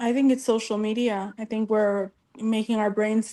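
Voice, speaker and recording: Her voice is fairly high for a woman, with fairly even intonation and a moderate pace. It is an unremarkable speaking voice. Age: 30s. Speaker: panelist on live advice show. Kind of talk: live stream panel discussion.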